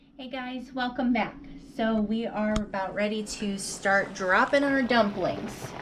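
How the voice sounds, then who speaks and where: Audible room echo and noticeable background noise surround a woman's fairly high-pitched voice. She speaks at a fairly slow pace with ordinary pitch variation and big swings in loudness. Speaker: home cooking video host. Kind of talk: cooking tutorial. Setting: home kitchen. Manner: casual, chatty.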